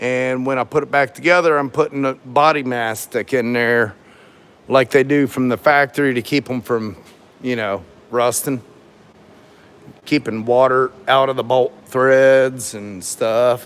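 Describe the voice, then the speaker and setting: A man with a medium pitch talks at a fairly slow pace. His intonation stays fairly even. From US South (Florida, Tennessee, Kentucky). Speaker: auto body and welding fabricator. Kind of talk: casual shop talk while working, answering viewers.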